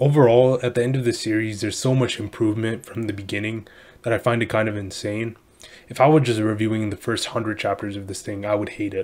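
At a very fast pace, a man talks with medium pitch and fairly even intonation. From India. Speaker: YouTube manga reviewer. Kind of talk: casual review monologue. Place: home room. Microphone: webcam.

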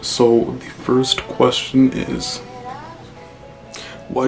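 Clear music plays in the background as a man at medium pitch speaks with long, frequent pauses. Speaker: vlogger. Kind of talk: casual talk to camera. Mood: relaxed, chill. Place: home room.

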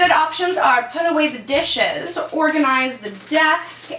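Raising and projecting her high voice, a woman speaks fairly slowly over noticeable background noise. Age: 20s. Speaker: ADHD lifestyle vlogger. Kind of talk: casual talk to camera. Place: home room.

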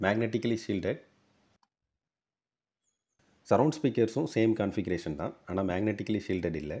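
A man talks at a moderate pace with a fairly low pitch and ordinary pitch variation. His tone is dark and mellow, with a slightly husky edge.

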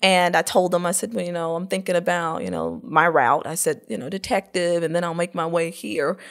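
An American woman speaks in an unremarkable speaking voice, fairly low in pitch, at a moderate pace. Her intonation stays fairly even on a very clean recording with a silent background. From North Florida (small town near Tallahassee). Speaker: workforce development executive. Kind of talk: interview.

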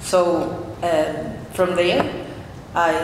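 A woman talks over faint background noise, with echo from the room clearly heard. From Peru. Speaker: artist and painter; presenter. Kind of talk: artist talk at a panel. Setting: stage with audience. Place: hall. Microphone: camera far.

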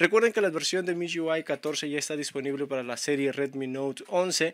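A man's voice at a moderate pace, dry and close with no echo, on a very clean recording with a silent background. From Peru. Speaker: tech YouTuber. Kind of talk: tutorial.

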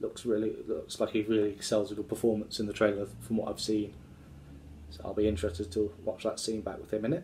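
Over light background noise, a man talks at a fairly quick pace in a somewhat breathy voice with a dark, mellow tone and monotone, flat intonation. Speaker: actor talking about his film work. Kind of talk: casual vlog chat. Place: home room. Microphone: phone near.

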